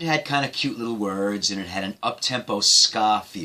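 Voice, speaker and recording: With a bright, sharp tone and lively intonation, a man speaks at a moderate pace in a fairly low pitch. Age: 60s. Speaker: retired musician. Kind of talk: personal storytelling.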